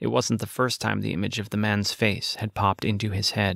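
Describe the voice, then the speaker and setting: On a very clean recording with a silent background and a dry, close sound with no echo, a man speaks at a moderate pace in a fairly low, monotone, flat voice with vocal fry. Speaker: audiobook narrator. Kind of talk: dramatic first-person fiction narration, read aloud with suspense.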